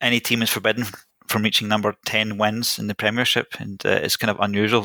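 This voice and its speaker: A man with a Scottish accent, fairly low pitch and a bright, sharp tone, very fast and monotone, flat in intonation, in a very clean, dry, close recording with no echo and a silent background. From Scotland (Greek-born, moved at three). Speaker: investor and podcaster. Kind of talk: casual interview chat.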